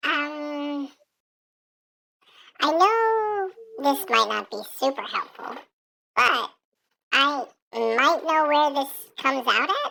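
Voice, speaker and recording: A female-sounding, put-on character voice speaks at a high pitch. The pace is very slow, with long, frequent pauses. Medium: actual play. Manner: hesitant, rambling, halting.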